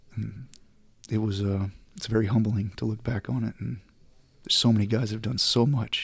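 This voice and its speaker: In a somewhat breathy, fairly low voice with an American accent, a man speaks with monotone, flat intonation at a fairly quick pace with long, frequent pauses. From Southeast Texas. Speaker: war veteran, former Navy SEAL dog handler. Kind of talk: interview, recounting experiences. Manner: casual.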